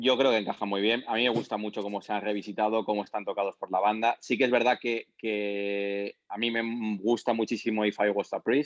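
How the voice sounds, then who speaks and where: A man speaks at a fairly quick pace with hardly any pauses, his intonation monotone and flat. The sound is dry and close, with no echo. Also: fairly low pitch for a man. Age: 40s. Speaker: concert promoter. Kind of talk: casual chat. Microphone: robotic-sounding line.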